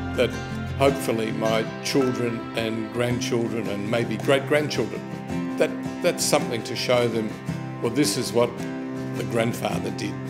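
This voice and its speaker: A man speaks at a fairly slow pace over loud music in the background. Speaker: photographer. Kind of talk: interview answer. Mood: proud, warm. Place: office.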